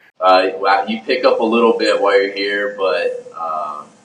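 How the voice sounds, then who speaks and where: A man with an American accent is heard over noticeable background noise. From Houston, Texas. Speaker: professional baseball pitcher. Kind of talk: interview.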